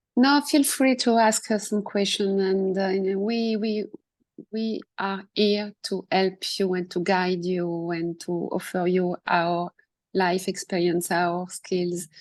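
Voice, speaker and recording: Speaking at a very slow pace in a French accent, a woman keeps a medium pitch with ordinary pitch variation. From France. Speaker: coach and author. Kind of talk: casual discussion. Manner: halting.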